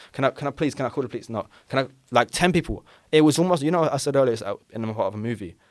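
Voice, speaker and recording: On a very clean recording with a silent background, a man with a London accent speaks at a very fast pace with a fairly high pitch, an animated tone and lively intonation. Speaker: podcast guest, robbery victim. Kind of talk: casual chat, storytelling.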